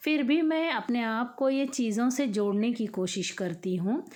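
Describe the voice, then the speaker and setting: A woman is speaking. Her pitch is fairly high. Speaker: home vlogger, mother. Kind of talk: casual vlog talk. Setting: at home, early morning. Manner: conversational, hesitant fillers.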